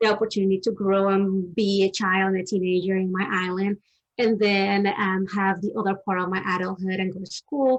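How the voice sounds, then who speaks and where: Fairly quick pace with monotone, flat intonation. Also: woman, medium pitch for a woman. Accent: strong Dominican. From Dominican Republic. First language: Spanish. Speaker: therapist. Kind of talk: interview on a live stream. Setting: live stream.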